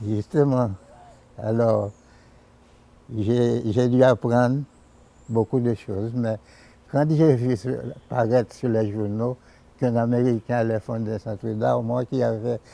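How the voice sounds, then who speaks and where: In a dark, mellow tone, a man speaks very slowly with fairly even intonation and long, frequent pauses. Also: medium pitch for a man. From Dominican Republic, raised in Haiti. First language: Spanish (speaking French). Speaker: artist. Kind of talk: interview. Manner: halting.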